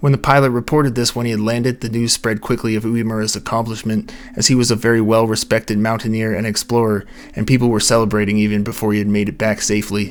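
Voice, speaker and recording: A man's very fast, monotone, flat delivery amid noticeable background noise. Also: medium pitch for a man. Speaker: mystery narrator. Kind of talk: scripted narration. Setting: home recording space at night. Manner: soft-spoken.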